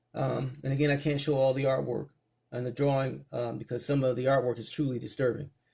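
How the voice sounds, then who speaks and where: This somewhat breathy voice moves at a very fast pace with a monotone, flat intonation. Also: man, medium pitch for a man. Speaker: comic book reviewer. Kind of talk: casual review. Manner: halting, many fillers.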